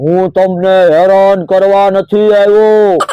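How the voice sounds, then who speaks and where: This is a cartoonish character voice pitched in the middle range. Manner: reassuring, friendly.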